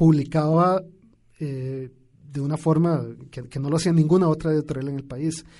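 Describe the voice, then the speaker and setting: This man's tone is dark and mellow, somewhat breathy, with fairly high pitch. His intonation is monotone and flat. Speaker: poet. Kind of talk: radio interview. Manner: halting, many repetitions.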